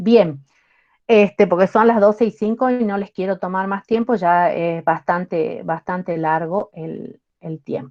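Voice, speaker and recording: An unremarkable speaking voice from a woman at medium pitch, with ordinary pitch variation, big swings in loudness and a fairly slow pace. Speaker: university lecturer. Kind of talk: lecture.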